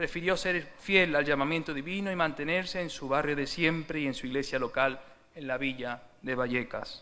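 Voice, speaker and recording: A man's bright, sharp voice, fairly high in pitch, at a moderate pace with ordinary pitch variation and audible room echo. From Seville, Andalusia, Spain. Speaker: church speaker giving a tribute. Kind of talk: formal tribute speech. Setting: church service.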